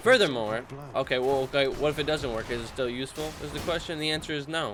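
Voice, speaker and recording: This man talks at a very fast pace in an animated tone. His pitch varies in an ordinary way. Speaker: gaming youtuber. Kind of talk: gameplay commentary. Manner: casual, animated.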